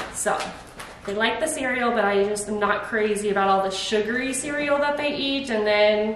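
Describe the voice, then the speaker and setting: With audible room echo and noticeable background noise, a woman speaks at a moderate pace with ordinary pitch variation. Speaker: mom vlogger. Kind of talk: casual vlog chat. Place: kitchen. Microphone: camera far.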